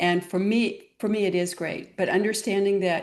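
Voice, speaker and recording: In a normal speaking voice, a woman talks at a moderate pace and medium pitch with fairly even intonation over a quiet background. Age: 60s. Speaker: clinical pharmacist and wellness guide. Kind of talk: interview conversation.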